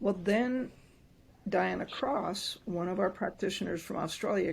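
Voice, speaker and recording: A woman's voice, somewhat breathy, shows ordinary pitch variation. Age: 70s. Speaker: doctor and microcurrent practitioner. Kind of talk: interview. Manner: animated.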